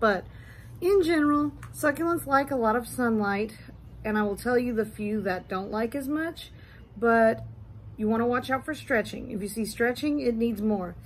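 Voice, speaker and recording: A woman speaks at a moderate pace, her voice somewhat breathy. Her pitch is fairly high, with ordinary variation. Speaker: succulent grower and YouTuber. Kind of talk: tutorial. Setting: indoors in husband's mancave. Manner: casual.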